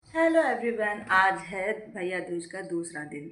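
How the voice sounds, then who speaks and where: A woman with fairly even intonation is heard amid noticeable background noise and audible room echo. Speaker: family vlogger, homemaker. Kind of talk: casual vlog talk. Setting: at home.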